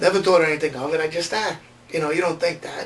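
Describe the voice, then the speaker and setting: Male voice, high-pitched with ordinary pitch variation, against noticeable background noise. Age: 40s. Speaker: patient. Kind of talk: testimony.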